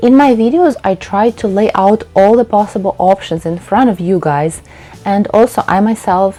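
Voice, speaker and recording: Noticeable background noise sits behind a woman speaking with a Russian accent. She talks at a moderate pace, with medium pitch and ordinary pitch variation. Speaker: textile designer and painter. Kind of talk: youtube talking-head tutorial.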